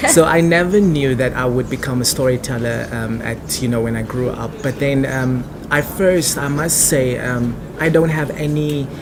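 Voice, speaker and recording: Amid noticeable background noise and audible room echo, a man with a South African accent speaks at medium pitch and a moderate pace with ordinary pitch variation. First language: Afrikaans. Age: 20s. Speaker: actor and theatre director. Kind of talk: interview.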